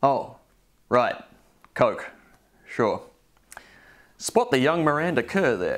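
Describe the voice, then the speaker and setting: A man with an Australian accent speaks at a very slow pace against a quiet background. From Adelaide, Australia. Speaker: show presenter. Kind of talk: comedic VHS review narration. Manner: dry, humorous. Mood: dry, wry humor. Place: home room. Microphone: lapel.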